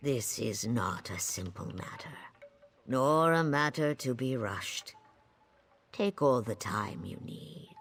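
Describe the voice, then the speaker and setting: In a put-on character voice, a man speaks at medium pitch and a fairly slow pace, leaving long, frequent pauses. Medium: video game. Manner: measured, formal, speaks in nature metaphors.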